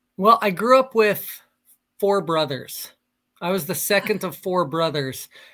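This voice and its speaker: In a very clean recording with a silent background, a man with a high pitch uses a raised, projected voice with a bright, sharp tone at a fairly slow pace. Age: 40s. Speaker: military pilot and life coach. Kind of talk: casual interview.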